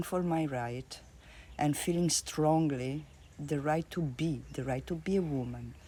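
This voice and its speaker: Speaking at a very slow pace, a woman with an Italian accent has a very deep, low pitch. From Italy. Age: 50s. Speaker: art therapist. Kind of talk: interview. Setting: at her home.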